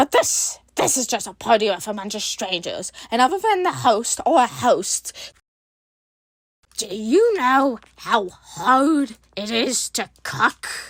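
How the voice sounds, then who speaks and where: Speaking at a fairly slow pace, this put-on character voice sits at a fairly high pitch. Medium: actual play.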